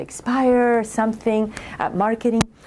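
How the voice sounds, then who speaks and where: A woman speaks with a non-native accent. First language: not English. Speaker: government program director. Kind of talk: interview. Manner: hesitant, with repetitions.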